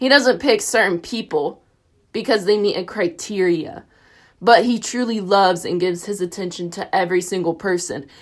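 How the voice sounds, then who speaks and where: A woman speaks with a Tennessee accent. Her pitch is medium, with ordinary variation. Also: moderate pace, very clean recording, silent background. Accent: US South, Tennessee. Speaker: college student. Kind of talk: personal reflection on a reading. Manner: animated.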